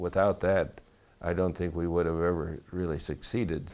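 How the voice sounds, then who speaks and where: Fairly slow speech with fairly even intonation against a quiet background. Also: man. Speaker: war veteran. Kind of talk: interview testimony.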